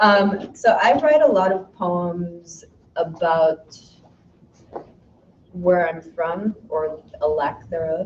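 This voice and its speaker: A somewhat breathy woman's voice, fairly low in pitch, at a very slow pace with long, frequent pauses and ordinary pitch variation. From Chicago, US. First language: Arabic. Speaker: poet. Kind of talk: poetry reading with casual introduction.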